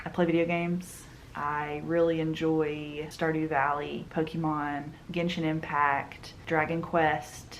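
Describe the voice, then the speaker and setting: A woman speaks very slowly in a very deep, low voice with a strong Southern US accent. Her intonation is monotone and flat, and the room echo is audible. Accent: thick southern US. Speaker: book and manga vlogger. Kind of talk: casual chat.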